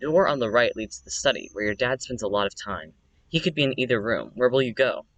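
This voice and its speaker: A man at a medium pitch with ordinary variation and vocal fry, at a very fast pace in a dry, close sound with no echo. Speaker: streamer. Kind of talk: reading aloud. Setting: outdoors.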